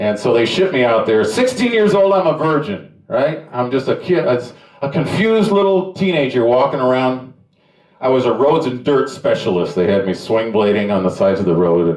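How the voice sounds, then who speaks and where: Audible room echo surrounds a man speaking at a moderate pace with very wide pitch swings. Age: 70s. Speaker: stand-up comedian. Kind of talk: stand-up. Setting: stage with nearly empty room. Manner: halting.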